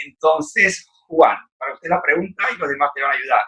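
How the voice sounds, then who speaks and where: At a fairly quick pace, a man speaks with a high pitch and a bright, sharp tone. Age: 80s+. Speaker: book discussion moderator. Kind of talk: group discussion.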